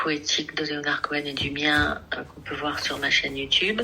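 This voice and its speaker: A woman's very deep, low voice, monotone and flat in intonation, at a fairly slow pace over noticeable background noise. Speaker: singer and artist. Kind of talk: radio interview. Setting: radio studio.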